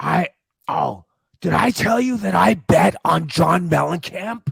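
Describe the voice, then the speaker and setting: A raspy, put-on character voice talks at a fairly slow pace. The sound is dry and close, with no echo. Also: man, high pitch for a man. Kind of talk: comic overacting. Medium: comedy sketch. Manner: slow, dim, boastful.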